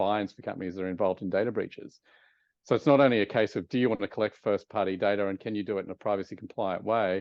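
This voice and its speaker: A man with an Australian accent speaks at a fairly low pitch, his intonation fairly even. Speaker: advertising executive. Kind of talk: interview.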